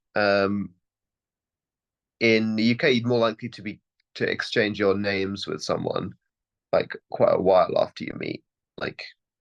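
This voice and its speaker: A man with a British accent at a moderate pace. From United Kingdom. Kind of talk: interview answer. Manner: casual, hesitant.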